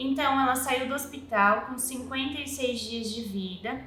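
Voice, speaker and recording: A raised, projected voice at a moderate pace, with fairly even intonation and audible room echo. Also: woman. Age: 20s. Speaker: mother of a child with a rare syndrome. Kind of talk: personal testimony.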